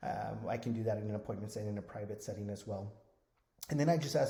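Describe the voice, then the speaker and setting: A man's somewhat breathy voice at a very fast pace, with fairly even intonation and audible room echo. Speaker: Medicare insurance agent trainer. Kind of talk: tutorial.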